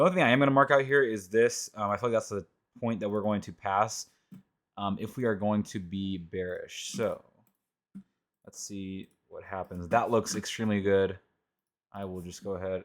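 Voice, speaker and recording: A man speaks quietly and at a fairly quick pace, his fairly low voice showing ordinary pitch variation. The recording is very clean, with a silent background. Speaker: trading educator / youtuber. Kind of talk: screen-recorded tutorial. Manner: casual, filler-heavy. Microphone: mic being adjusted, reportedly quiet.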